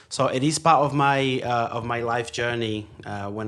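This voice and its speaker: Fairly even intonation and a Brazilian accent come through audible room echo and noticeable background noise. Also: man. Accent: foreign accent, Brazilian. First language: Portuguese. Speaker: podcast guest, engineer. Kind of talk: casual chat. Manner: halting, many fillers.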